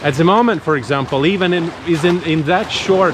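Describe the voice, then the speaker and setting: A man in a Latvian accent, fairly high in pitch, fairly slow in pace, with audible room echo and noticeable background noise. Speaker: travel vlogger. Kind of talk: casual vlog monologue.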